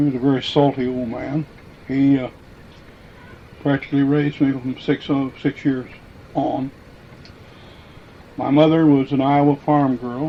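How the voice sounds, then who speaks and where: With a Midwestern American accent, a man talks at a moderate pace in a fairly high pitch and monotone, flat intonation, leaving long, frequent pauses amid noticeable background noise. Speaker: former miner and quarry worker. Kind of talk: oral history interview answer.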